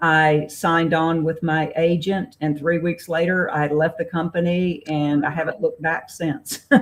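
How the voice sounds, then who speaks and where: A woman with a Southern US accent talks fairly slowly in a fairly low voice, with monotone, flat intonation, very even loudness and hardly any pauses. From US South, Raleigh, North Carolina. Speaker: novelist. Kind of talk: interview.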